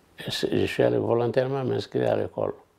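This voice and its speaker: A man speaks at a fairly slow pace. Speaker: retired activist, interviewee. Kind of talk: documentary interview.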